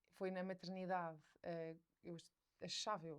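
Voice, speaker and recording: Speaking at a very slow pace, a woman with a medium pitch keeps to a monotone, flat intonation. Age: 20s. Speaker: mother sharing her experience, content creator. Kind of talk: podcast interview. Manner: hesitant, many fillers.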